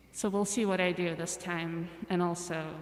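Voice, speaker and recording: Over noticeable background noise, a woman with a fairly low pitch speaks at a very slow pace in a monotone, flat delivery. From Russia, moved to US at age ten. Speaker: musician. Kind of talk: casual chat.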